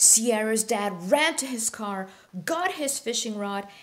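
Natural-voiced reading aloud.

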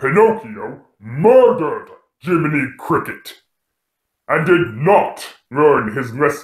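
A high-pitched put-on character voice from a man, with slight echo. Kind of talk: horror host introduction. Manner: sardonic, mocking, menacing.

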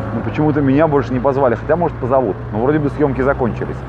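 A very fast delivery with dry sound, no echo, and noticeable background noise. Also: man. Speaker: traveler talking to a vlogger. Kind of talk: casual vlog chat. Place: street. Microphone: phone near.

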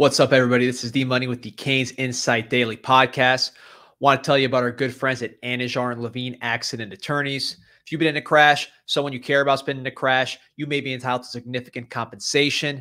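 A man speaks very fast in a bright, sharp tone with monotone, flat intonation over a quiet background. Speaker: podcast host. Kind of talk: ad read. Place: studio. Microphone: studio mic.

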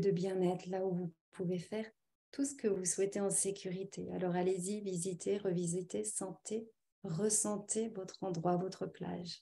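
This woman's voice is dark, mellow and somewhat breathy, at a medium pitch, with monotone, flat intonation and a moderate pace. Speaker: naturopath and hypnotherapist. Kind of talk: webinar presentation and guided relaxation. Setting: video call. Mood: calm, soothing in relaxation. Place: home room. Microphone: webcam.

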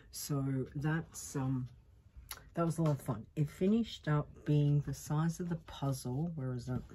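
Over light background noise, a woman with an Australian accent speaks in a very deep, low, somewhat breathy voice with a dark, mellow tone and fairly even intonation. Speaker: vlogger. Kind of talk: casual chat. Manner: casual, hesitant with fillers. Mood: cheerful, relaxed. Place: home room. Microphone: earbuds.

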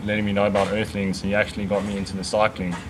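Faint music plays in the background as a man speaks at a fairly low pitch. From South Africa, Pretoria; South Africa. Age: 20s. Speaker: vegan cyclist. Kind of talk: casual interview. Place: garden.

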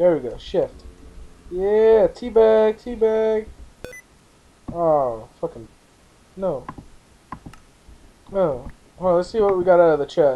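The speaker uses lively intonation at a very slow pace, with long, frequent pauses. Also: man, high pitch for a man. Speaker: gaming YouTuber. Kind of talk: gameplay commentary. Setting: voice call. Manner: animated.

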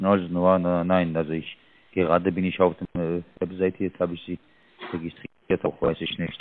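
Monotone and flat, a man's very deep, low voice moves at a moderate pace in a dry sound with no echo. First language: not German (speaking German). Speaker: scam call center agent. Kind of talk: phone call. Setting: phone call. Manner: halting. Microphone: mic too close to mouth, muffled; phone line.

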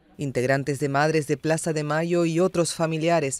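This man has an ordinary speaking voice with a fairly high pitch. He speaks at a fairly slow pace with fairly even intonation. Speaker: news reader. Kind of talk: tv news report, scripted. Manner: formal, measured; serious, even-paced delivery.

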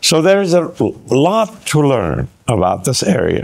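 Against a quiet background, a man speaks at a very slow pace with very wide pitch swings. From Iran. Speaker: professor; interviewee. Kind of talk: interview; interview answer. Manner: halting. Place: meeting room. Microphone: lapel.

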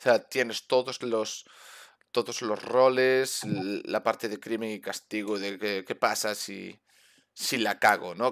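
This man's pitch varies in an ordinary way. The background is quiet. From Spain. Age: 30s. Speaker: gaming streamer. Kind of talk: casual chat. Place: home room. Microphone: headset.

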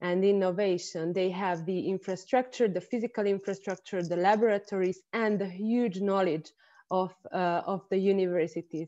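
A woman in a Hungarian accent, fairly even in intonation, over a quiet background. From Hungary. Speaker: industry-university relations expert. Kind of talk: online panel discussion. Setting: video call. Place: home room. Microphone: earbuds.

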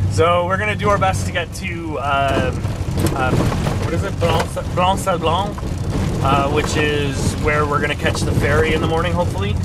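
Loud background noise sits under speech at a moderate pace broken by long, frequent pauses. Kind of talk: casual vlog chat. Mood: cheerful, laughing. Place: car. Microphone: camera far.

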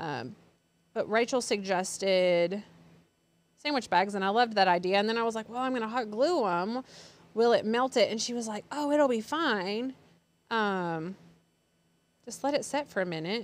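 At a moderate pace and a fairly high pitch, a woman speaks with lively intonation and long, frequent pauses, the sound dry with no echo. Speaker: craft channel host. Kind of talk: live craft tutorial. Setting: studio. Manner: chatty. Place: studio.

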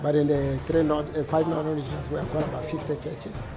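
A man at a moderate pace over clear background music. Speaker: interviewee. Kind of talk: interview answer. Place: hall.

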